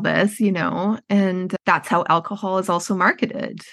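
A woman speaks at a moderate pace with a medium pitch and fairly even intonation against a quiet background. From Canada, Edmonton, Alberta. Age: 40s. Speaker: writing workshop founder in recovery. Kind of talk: personal story in interview.

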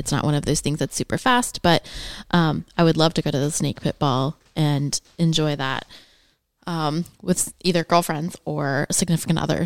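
A woman with a US Midwestern accent speaks at a moderate pace with very deep, low pitch and fairly even intonation. The recording is very clean, with a silent background. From Indianapolis, Indiana. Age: 40s. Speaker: podcast co-host. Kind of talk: casual chat.

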